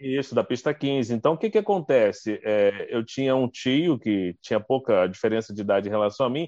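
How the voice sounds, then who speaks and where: A plain, everyday voice moves at a moderate pace with lively intonation. There are hardly any pauses. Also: man, medium pitch for a man. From Rio de Janeiro state, Brazil (Duque de Caxias). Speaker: TV journalist and news anchor. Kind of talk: casual interview chat. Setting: live video stream.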